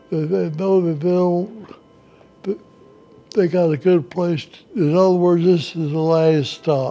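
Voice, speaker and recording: Music plays in the background as a man with a high-pitched voice and a South Carolina accent talks at a fairly slow pace, with fairly even intonation and big swings in loudness. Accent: Southern American (South Carolina). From South Carolina, USA. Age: 80s+. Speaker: war veteran. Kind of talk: interview answer.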